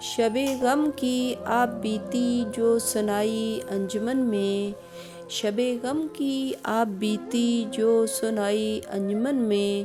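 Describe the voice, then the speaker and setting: A woman speaks in a fairly high pitch with a sad tone, ordinary pitch variation and very even loudness. Music plays in the background. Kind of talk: poetry reading. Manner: sad, emotional.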